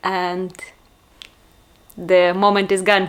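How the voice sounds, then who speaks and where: At a very slow pace, a woman with a Russian accent talks at a medium pitch. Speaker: vlogger. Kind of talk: personal vlog monologue. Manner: hesitant, with fillers.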